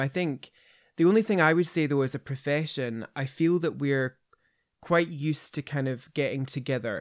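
In a very clean recording with a silent background, a man speaks with a Glaswegian accent at a moderate pace. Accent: Glaswegian Scottish. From Scotland, Glasgow area. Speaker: veterinary specialist, podcast host. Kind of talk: casual interview and clinical discussion.

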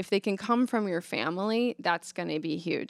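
A woman with an American accent talks at a moderate pace in a dry, close sound with no echo. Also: very clean recording, silent background. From Nebraska, Omaha. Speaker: psychotherapist. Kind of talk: interview conversation.

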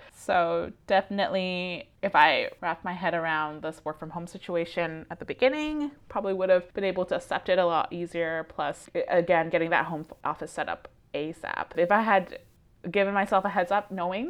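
A woman's plain, everyday voice at a medium pitch. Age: 30s. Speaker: podcast co-host. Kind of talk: casual chat.

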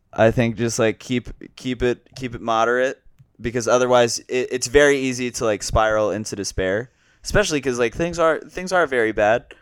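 In a very clean recording with a silent background, a man speaks at a moderate pace in a normal speaking voice, medium in pitch with ordinary pitch variation. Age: 20s. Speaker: comedian. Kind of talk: casual chat. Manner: casual, rambling.

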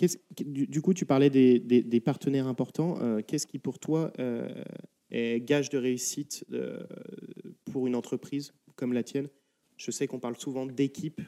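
Recorded dry and close with no echo, a man at medium pitch speaks at a moderate pace in a dark, mellow tone, leaving long, frequent pauses. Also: fairly even intonation. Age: 30s. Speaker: podcast host. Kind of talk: interview. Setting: in a shop.

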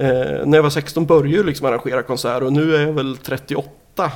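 With vocal fry and ordinary pitch variation, a man speaks at a fairly high pitch. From Sweden, Nyköping. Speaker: record label owner. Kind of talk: interview. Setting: in person, Norrköping.

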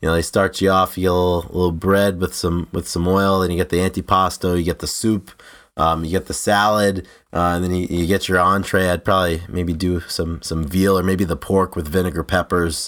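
A man's very deep, low voice with an American accent, fairly quick and monotone, flat in intonation, on a very clean recording with a silent background. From Rhode Island, US. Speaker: podcast co-host. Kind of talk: casual chat.

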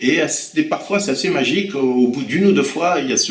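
A man is speaking. Noticeable background noise and audible room echo are present. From France, Loir-et-Cher (Blois). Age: 50s. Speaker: French language teacher. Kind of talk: interview. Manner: hesitant, with fillers and repetitions.

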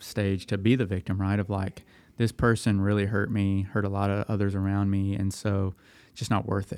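A man's fairly low voice with a Tennessee accent, on a very clean recording with a silent background. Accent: US Southern (Tennessee). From Middle Tennessee. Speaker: young adult ministry worker, former pastor. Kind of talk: casual podcast interview.

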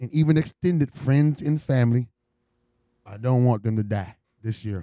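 In an American accent, a man talks at a moderate pace with a dark, mellow tone, and the sound is dry and close with no echo. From US West Coast. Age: 40s. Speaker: podcast host. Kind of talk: casual banter.

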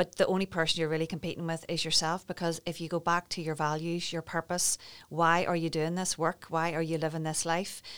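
A woman with a Northern Irish accent speaks at a fairly low pitch in a monotone, flat intonation. She leaves hardly any pauses, and the recording is very clean with a silent background. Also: fairly quick pace. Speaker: wellbeing business founder. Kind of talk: interview.

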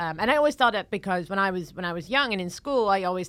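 Lively intonation marks this woman's speech, captured in a very clean recording with a silent background. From Netherlands. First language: Dutch. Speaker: comedian. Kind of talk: casual chat. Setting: studio.

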